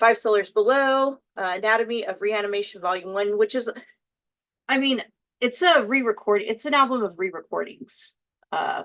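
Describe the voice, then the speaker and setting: With a Texas accent, a woman talks at a moderate pace in a fairly high pitch and lively intonation. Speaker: YouTuber, makeup and music content creator. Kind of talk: casual vlog chat while doing makeup. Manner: casual, many fillers and restarts.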